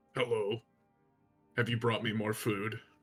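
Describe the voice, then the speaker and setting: With faint music in the background, a man does a put-on character voice at a medium pitch and moderate pace, his intonation monotone and flat. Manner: eerie, mimicking.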